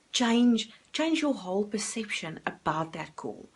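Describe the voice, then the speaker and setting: A woman speaks with a South African accent. Her pace is moderate. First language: Afrikaans. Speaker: life coach. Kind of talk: motivational talk to camera. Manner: filler-heavy, some hesitation.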